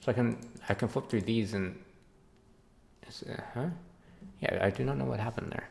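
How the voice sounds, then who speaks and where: A man mumbles softly at a fairly quick pace with long, frequent pauses, his fairly low voice carrying vocal fry and very wide pitch swings. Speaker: game developer streamer. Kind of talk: live stream commentary. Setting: live stream. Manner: mumbling; soft-spoken.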